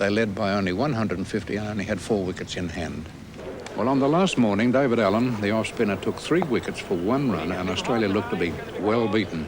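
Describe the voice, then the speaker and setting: A man with a fairly low pitch at a very fast pace, with ordinary pitch variation and noticeable background noise. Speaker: cricket radio commentator. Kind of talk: interview answer.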